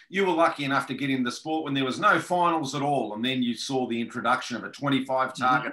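Against a quiet background, a man with an Australian accent talks fairly quickly in a bright, sharp tone with ordinary pitch variation. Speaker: podcast host. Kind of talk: interview. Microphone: video call.

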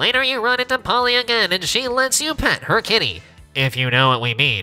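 A put-on character voice comes through in a fairly high pitch at a fairly quick pace. Faint music plays in the background. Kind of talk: old-time radio announcer. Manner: dramatic, mock-grand.

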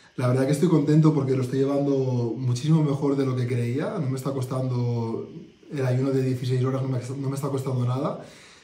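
A man's fairly quick, fairly evenly intoned speech with audible room echo. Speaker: group participant sharing experience. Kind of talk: interview answer. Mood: content, reflective. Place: home room. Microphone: phone near.

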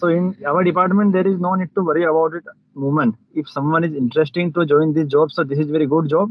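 Spoken with an Indian accent at a fairly quick pace, this voice has ordinary pitch variation and a dry sound with no echo. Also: man. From Madhya Pradesh, India. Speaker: police officer learning English. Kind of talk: English practice conversation. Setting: video call. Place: car. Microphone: video call.

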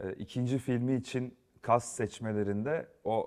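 His pitch rises and falls in a normal way as a man talks. Little sound comes from behind him. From Turkey, Yozgat; Turkey. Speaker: film and TV director; guest. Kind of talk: studio interview. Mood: calm, reflective. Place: studio. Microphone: lapel.

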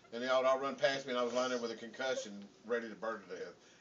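Very fast, playful speech with ordinary pitch variation and light background noise. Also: man. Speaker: father. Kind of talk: casual family banter. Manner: joking, playful. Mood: playful, drowsy humor. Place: home room. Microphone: camera far.

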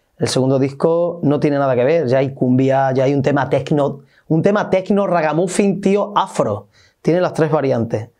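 A man with a fairly high, dark, mellow voice, ordinary pitch variation, very even loudness and a moderate pace, over a quiet background. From Spain, Extremadura (Olivenza); Extremadura, Spain. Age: 30s. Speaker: musician. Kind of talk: interview. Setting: studio. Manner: animated. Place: studio.

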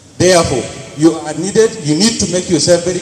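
Over light background noise and audible room echo, a man with a fairly high pitch talks at a very fast pace with ordinary pitch variation. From Nigeria, Taraba State. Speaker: accountant; conference presenter. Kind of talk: group presentation. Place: hall. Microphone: handheld.

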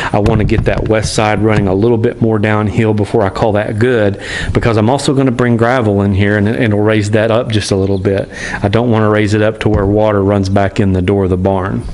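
A man speaks in a flat monotone at a fairly low pitch. His loudness stays very even. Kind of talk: casual vlog chat. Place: open country. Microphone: phone near.

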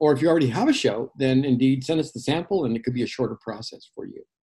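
A man's dark, mellow, somewhat breathy voice with ordinary pitch variation over a quiet background. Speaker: radio station general manager and show host. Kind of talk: radio station promo, casual talk about programming. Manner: conversational, enthusiastic, with frequent fillers. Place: home room.

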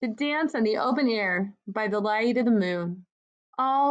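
Over a quiet background, someone is reading aloud in a natural voice.

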